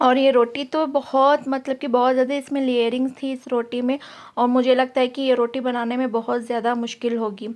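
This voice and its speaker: Speaking with hardly any pauses, a woman holds a high pitch in a monotone, flat intonation. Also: moderate pace. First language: Urdu (speaking Hindi). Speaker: mom vlogger. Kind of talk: vlog narration. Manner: casual, filler-heavy.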